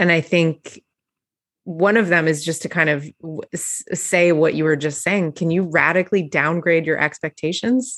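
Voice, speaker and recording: In a plain, everyday voice, a woman talks at a moderate pace and fairly low pitch with ordinary pitch variation. The sound is dry and close with no echo, over a quiet background. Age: 40s. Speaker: podcast host. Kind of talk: casual chat.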